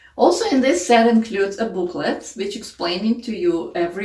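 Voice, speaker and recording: A woman with a non-native accent at a fairly quick pace, with noticeable background noise. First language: not English. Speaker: homeschooling parent, curriculum reviewer. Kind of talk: casual tutorial review.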